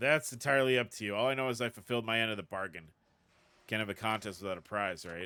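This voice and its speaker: Putting on a character voice, a man speaks very fast in a raspy, medium-pitched tone. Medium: game stream. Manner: calm, confident.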